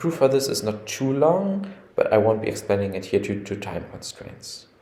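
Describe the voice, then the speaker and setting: The voice swings very widely in pitch and loudness changes in big swings, with noticeable background noise behind it. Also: man, medium pitch for a man, moderate pace. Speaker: computer scientist. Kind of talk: technical explainer narration.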